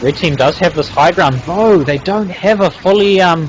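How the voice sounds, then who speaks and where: The intonation is lively and the pace moderate. Noticeable background noise can be heard. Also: man. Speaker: game commentator. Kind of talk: live commentary. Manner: halting, many fillers.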